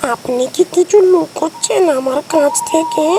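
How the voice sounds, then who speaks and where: The put-on character voice is high-pitched and moves at a fairly slow pace over clear background noise. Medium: audio drama.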